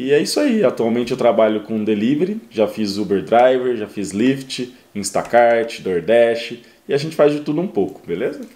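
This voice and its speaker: A man speaks at a medium pitch with a dark, mellow tone. His pitch varies in an ordinary way. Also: moderate pace. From Brazil, interior of São Paulo state. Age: 30s. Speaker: delivery driver and YouTuber. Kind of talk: casual interview. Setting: at host's home.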